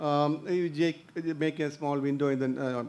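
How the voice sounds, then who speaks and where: Monotone, flat speech from a man at a fairly high pitch. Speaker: ENT surgeon. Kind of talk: lecture. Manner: halting.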